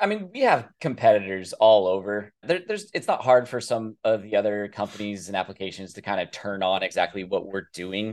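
This man has an unremarkable speaking voice, fairly low in pitch with fairly even intonation. He talks at a fairly quick pace with hardly any pauses. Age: 30s. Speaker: tech startup founder. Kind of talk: casual interview.

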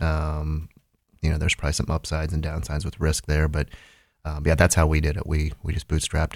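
Speaking with a Midwestern US accent, a man delivers a monotone, flat line at a very deep, low pitch, somewhat breathy and at a fairly quick pace. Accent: US Midwest. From Ohio, Holmes County. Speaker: business owner. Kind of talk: interview.

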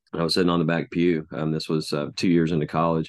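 A man with a Texan accent talks at a fairly quick pace in a very deep, low pitch against a quiet background. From Texas, Denton. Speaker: children's minister. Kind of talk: interview conversation. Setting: call. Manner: halting.

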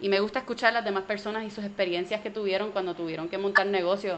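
A woman speaks in a Puerto Rican accent. Her pitch is medium. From Puerto Rico, partly raised in Orlando. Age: 30s. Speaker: comedian. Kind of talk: interview conversation.

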